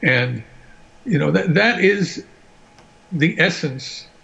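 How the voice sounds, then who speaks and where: A somewhat breathy male voice. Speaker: panelist. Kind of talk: casual panel discussion.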